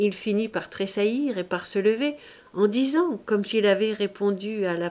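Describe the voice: Ordinary pitch variation in plain reading aloud.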